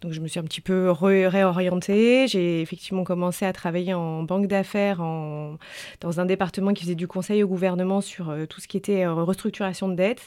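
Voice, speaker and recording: A woman's dark, mellow tone shows big swings in loudness, while her intonation stays fairly even. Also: medium pitch for a woman, moderate pace. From French Alps. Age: 30s. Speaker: journalist and author. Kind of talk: interview.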